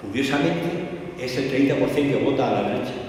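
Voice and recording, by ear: A man at a fast pace, lively intonation, strong room echo all around. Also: medium pitch for a man, slightly mellow tone.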